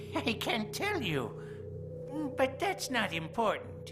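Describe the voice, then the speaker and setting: A man's cartoonish character voice over loud music in the background. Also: fairly slow pace. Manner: sly, chuckling.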